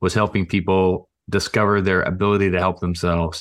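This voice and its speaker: A man talks in an ordinary speaking voice with an American accent, pitched fairly low. The recording is very clean, with a silent background. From US South, rural Alabama. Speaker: nonprofit CEO. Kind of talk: interview.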